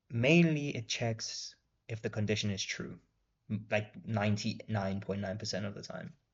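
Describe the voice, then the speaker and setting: A man speaks at a fairly slow pace with a fairly low pitch. His voice is somewhat breathy. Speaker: coding tutorial creator. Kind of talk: screen-recorded coding tutorial. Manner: slow, typing while talking; casual, hesitant with fillers.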